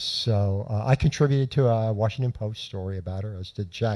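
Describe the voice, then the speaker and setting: A man talks at a moderate pace with a fairly low, somewhat breathy voice and a dark, mellow tone. The sound is dry and close with no echo, and the recording is very clean over a silent background. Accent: American. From South Florida (Miami). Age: 60s. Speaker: journalist and author. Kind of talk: storytelling talk. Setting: lecture hall with audience. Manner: halting.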